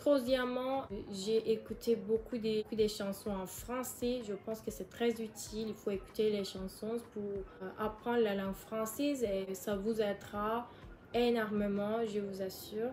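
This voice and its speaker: With a Turkish accent, a woman speaks at a very slow pace and a fairly high pitch. Her delivery is monotone and flat, with noticeable background noise behind it. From Turkey. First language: Turkish (speaking French). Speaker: YouTuber. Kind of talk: casual vlog advice. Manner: halting, hesitant.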